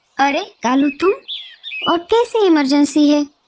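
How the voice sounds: In a cartoonish character voice, a woman talks fairly slowly at a high pitch.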